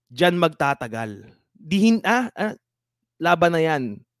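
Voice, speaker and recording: Very wide pitch swings stand out in a dry, close sound with no echo, in a very clean recording with a silent background. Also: man. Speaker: boxing podcast host. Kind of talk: live stream chat.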